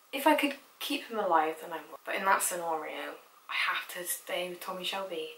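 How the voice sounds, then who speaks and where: A woman speaks with very wide pitch swings. Noticeable background noise runs behind her. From Bristol, England. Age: young. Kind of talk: casual talk to camera.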